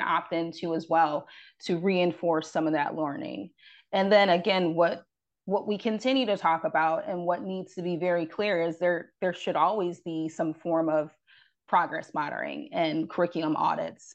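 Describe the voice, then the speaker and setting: A normal speaking voice from a woman with an American accent, fairly low in pitch with ordinary variation, at a moderate pace over a quiet background. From upstate New York, Rochester. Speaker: parent advocacy director. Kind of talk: radio interview.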